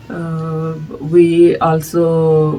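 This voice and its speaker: A woman's very deep, low voice with a Telugu accent, music in the background. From India. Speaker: music society director. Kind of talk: interview. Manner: hesitant, many fillers.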